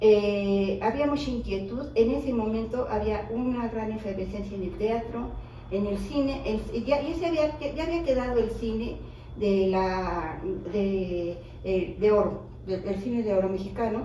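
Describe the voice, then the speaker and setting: Speaking at a fairly slow pace with ordinary pitch variation, a woman is heard through audible room echo and noticeable background noise. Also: fairly high pitch for a woman. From Mexico City. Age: 60s. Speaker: widow of a filmmaker, interviewee. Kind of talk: interview.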